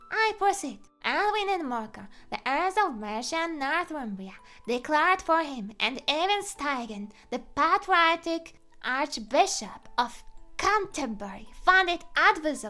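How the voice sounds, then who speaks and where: Faint music plays in the background as a woman speaks fairly slowly in a put-on character voice. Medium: virtual streamer. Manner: prim, self-important.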